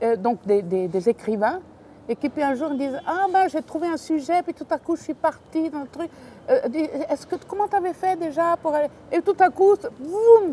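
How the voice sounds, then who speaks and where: A woman with an Italian accent speaks at a moderate pace in an extremely high pitch with very wide pitch swings, the sound dry and close with no echo but noticeable background noise. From Italy, emigrated to Switzerland. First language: Italian (speaking French). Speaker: novelist. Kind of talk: casual chat.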